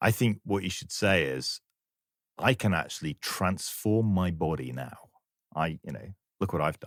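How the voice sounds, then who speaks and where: A man with a very deep, low pitch and vocal fry makes very wide pitch swings at a moderate pace, in a dry, close sound with no echo on a very clean recording with a silent background. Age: 50s. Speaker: podcast co-host. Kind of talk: interview.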